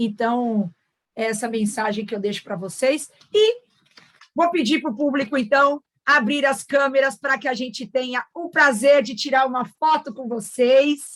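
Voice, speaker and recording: A woman speaks fairly slowly at a high pitch. Her pitch varies in an ordinary way. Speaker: event moderator. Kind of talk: closing remarks of online panel.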